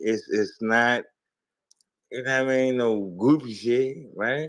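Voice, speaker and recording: The speaker is a man with a medium pitch. He talks at a very slow pace. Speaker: caller. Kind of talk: casual chat. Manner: slurred, as if drunk; halting, many fillers.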